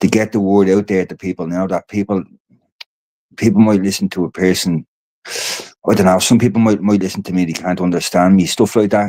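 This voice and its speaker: With an Irish accent and a dark, mellow tone, a man talks at a fairly quick pace and fairly low pitch in a monotone, flat intonation, the sound dry and close with no echo. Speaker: podcast host and activist. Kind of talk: casual livestream chat. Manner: fast; rambling, halting.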